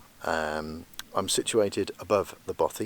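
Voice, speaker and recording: This speaker is soft-spoken, with a British accent. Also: man. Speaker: landscape photographer vlogger. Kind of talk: outdoor vlog with technical explanation. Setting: outdoors on a hill. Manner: quiet, soft-spoken; hesitant, many fillers.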